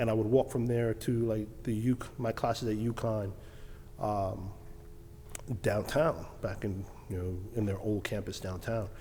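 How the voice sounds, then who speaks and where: With a New York accent, a man speaks at a fairly low pitch and a fairly slow pace, his tone dark and mellow and his intonation fairly even, with long, frequent pauses. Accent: New York City. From Brooklyn, New York. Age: 40s. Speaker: financial advisor. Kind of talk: casual chat.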